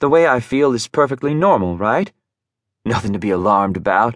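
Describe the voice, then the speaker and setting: A man's medium-pitched, ordinary speaking voice at a moderate pace, with lively intonation. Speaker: audiobook narrator. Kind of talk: dramatic first-person audiobook narration. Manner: intimate, brooding, emotionally charged; shifts into flustered, defensive tone, with lively voiced dialogue.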